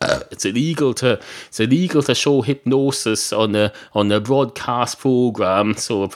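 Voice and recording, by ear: With ordinary pitch variation, someone reads a text aloud in a natural voice.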